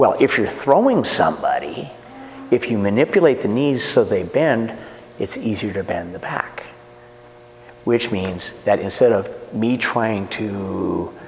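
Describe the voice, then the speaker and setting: Over a noticeable layer of background noise, a man delivers his words fairly slowly. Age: 60s. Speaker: martial arts instructor. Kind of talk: interview.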